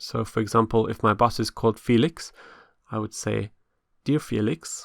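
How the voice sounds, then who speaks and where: Recorded very cleanly with a silent background and a dry, close sound with no echo, a man talks at a moderate pace in a medium pitch with vocal fry and fairly even intonation. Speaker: English teacher. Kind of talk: educational lesson narration.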